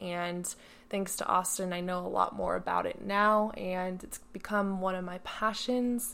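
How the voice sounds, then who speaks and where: An ordinary speaking voice with fairly even intonation moves at a moderate pace. The recording is very clean, with a silent background. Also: woman. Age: 20s. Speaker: podcast co-host, former competitive swimmer. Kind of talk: casual chat.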